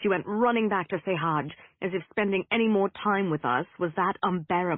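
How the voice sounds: With ordinary pitch variation, the delivery stays in a natural reading voice.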